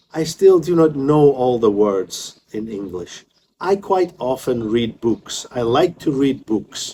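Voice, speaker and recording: A man's dark, mellow tone at medium pitch, delivered at a very slow pace with lively intonation. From Scotland. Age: 50s. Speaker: English teacher. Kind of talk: tutorial.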